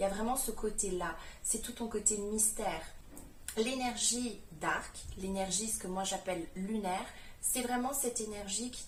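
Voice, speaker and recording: A woman's fairly high voice at a fairly slow pace, with audible room echo and noticeable background noise. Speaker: spiritual coach, manifestation youtuber. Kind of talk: vlog-style coaching talk.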